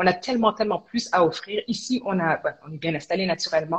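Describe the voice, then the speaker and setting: Talking at a very fast pace, a woman uses a medium pitch, ordinary pitch variation and a somewhat breathy voice. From Quebec, Montreal. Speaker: entrepreneur. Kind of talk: interview.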